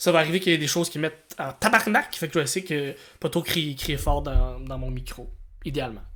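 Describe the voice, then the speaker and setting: This man talks at a fairly quick pace in a high pitch. He speaks with a Quebec accent. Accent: Québécois French. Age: 30s. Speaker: podcast co-host and comedian. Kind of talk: casual podcast chat. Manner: halting, repeats words.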